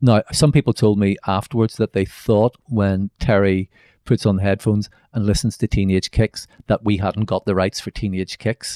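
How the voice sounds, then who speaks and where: A man with a Northern Irish accent speaks in a fairly low pitch with a dark, mellow tone and fairly even intonation, at a moderate pace. The recording is very clean with a silent background, and the sound is dry and close with no echo. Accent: Northern Irish (Belfast). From Northern Ireland, Belfast. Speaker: novelist and screenwriter. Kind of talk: interview. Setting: office at a university.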